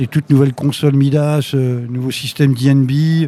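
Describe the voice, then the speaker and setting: Speaking at a moderate pace, a man with a fairly high pitch keeps a monotone, flat intonation. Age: 60s. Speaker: concert venue director. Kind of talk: live interview before audience. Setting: stage with audience. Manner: halting, repetitive.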